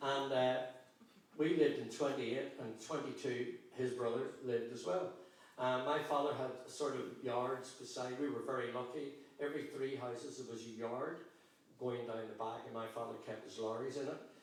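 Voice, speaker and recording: Someone with a Belfast accent speaks at a moderate pace with fairly even intonation. Audible room echo and noticeable background noise are present. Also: man, medium pitch for a man. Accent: Belfast Northern Irish. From Northern Ireland, East Belfast. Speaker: broadcaster and gospel performer. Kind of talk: life story testimony. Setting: church with live audience. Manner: conversational, hesitant with fillers.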